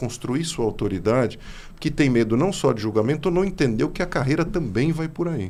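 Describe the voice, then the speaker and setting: A man with a São Paulo accent speaks with lively intonation. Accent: São Paulo accent, noticeable. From São Paulo state. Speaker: podcast host. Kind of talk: interview conversation.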